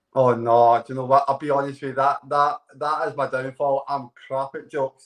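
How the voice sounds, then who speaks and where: Speaking at a moderate pace with a Scottish accent, a man keeps a fairly high pitch and a monotone, flat intonation. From Scotland. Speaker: dating show contestant. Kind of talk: casual chat.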